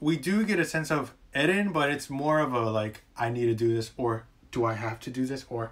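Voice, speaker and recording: A man talks at a moderate speed with light noise in the background. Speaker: anime reviewer. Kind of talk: casual vlog commentary. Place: home room. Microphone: webcam.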